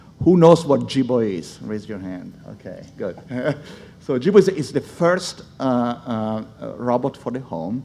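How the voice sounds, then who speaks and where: A man with a dark, mellow tone speaks fairly slowly with lively intonation in an Italian accent. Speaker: speech technology executive. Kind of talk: conference panel talk. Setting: stage with audience.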